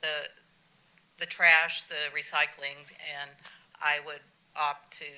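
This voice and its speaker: The voice moves at a very slow pace in a monotone, flat intonation. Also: woman. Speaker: resident speaking at public comment. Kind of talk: public comment at city council meeting. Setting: council chamber. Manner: halting.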